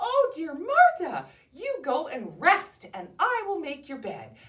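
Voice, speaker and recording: In a squeaky, put-on character voice, a woman talks at an extremely high pitch and fairly slow pace with very wide pitch swings. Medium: read story. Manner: sweet, singsong.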